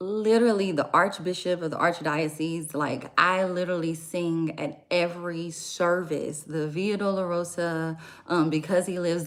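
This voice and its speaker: A woman with an American accent talks at a moderate pace in a fairly low pitch. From Louisiana, near New Orleans. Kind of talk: casual livestream talk. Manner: soft-spoken.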